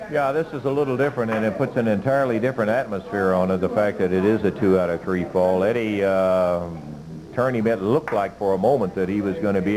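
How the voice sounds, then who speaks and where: Very fast speech with very even loudness and ordinary pitch variation amid noticeable background noise. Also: man. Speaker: TV wrestling commentator. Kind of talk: live wrestling play-by-play commentary. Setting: TV studio.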